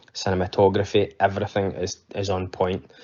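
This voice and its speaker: A man speaks in a Scottish accent at a moderate pace. His pitch is fairly low. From Scotland. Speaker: podcast listener leaving voicemail. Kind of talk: voicemail feedback. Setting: voicemail recording. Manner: hesitant, many fillers.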